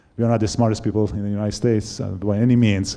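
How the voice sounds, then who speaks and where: A man with a Persian accent at a very fast pace, fairly low in pitch, dark and mellow in tone, with fairly even intonation. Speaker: company founder and CEO. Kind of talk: panel talk. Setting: stage with audience. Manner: halting.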